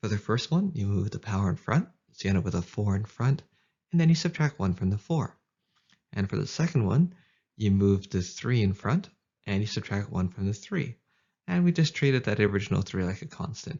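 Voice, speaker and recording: In a Canadian accent, the somewhat breathy voice moves at a fairly quick pace with very wide pitch swings. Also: man, fairly low pitch for a man. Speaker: math tutor. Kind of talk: educational tutorial narration. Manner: casual, upbeat.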